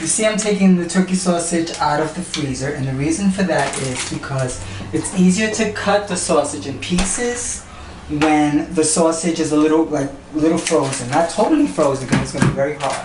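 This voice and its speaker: A woman talks at a fairly quick pace with a very deep, low pitch. Background noise is noticeable. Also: lively intonation. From Puerto Rico, raised in New York. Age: 60s. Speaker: cooking show host. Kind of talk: cooking demonstration to camera. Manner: flamboyant, sassy.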